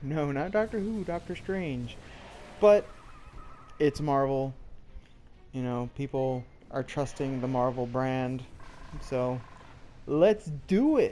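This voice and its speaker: Very slow pace with long, frequent pauses. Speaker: gamer reviewing a film while playing. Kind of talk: casual talk to camera. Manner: hesitant, some stuttering and repetition.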